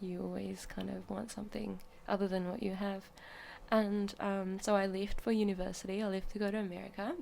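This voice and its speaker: A woman speaks at a fairly quick pace, and the room echo is audible. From New Zealand. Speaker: artist. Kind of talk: casual chat. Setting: studio.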